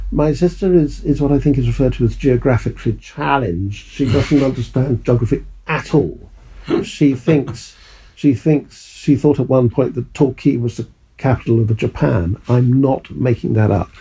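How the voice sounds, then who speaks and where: A man's dark, mellow, somewhat breathy voice at a medium pitch, with ordinary pitch variation and a moderate pace. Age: 60s. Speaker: retired wine merchant. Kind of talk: interview. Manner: hesitant, repeats words.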